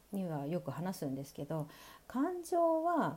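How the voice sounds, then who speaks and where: Her tone is dark and mellow, and this woman's pitch sits fairly low with lively intonation. She speaks at a very slow pace. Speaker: radio podcaster and body coach. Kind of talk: solo monologue podcast. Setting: recorded at night. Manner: loud; laughs often.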